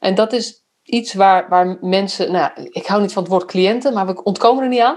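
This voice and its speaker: Here is a woman with an unremarkable speaking voice. She talks at a moderate pace with ordinary pitch variation. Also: medium pitch for a woman. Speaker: podcast host, youth care professional. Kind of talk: casual interview conversation.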